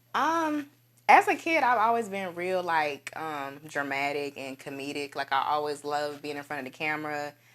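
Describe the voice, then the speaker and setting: With an Alabama accent, a woman speaks at a moderate pace in a very deep, low pitch, with big swings in loudness and ordinary pitch variation, on a very clean recording with a silent background. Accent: Southern US (Alabama). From US South, Dothan, Alabama. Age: 20s. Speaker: actress. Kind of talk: casual interview.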